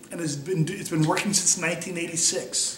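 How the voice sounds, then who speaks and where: Audible room echo and noticeable background noise accompany a man. He speaks with an American accent. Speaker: wheelchair athlete. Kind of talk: personal testimony interview. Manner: conversational, with fillers and restarts.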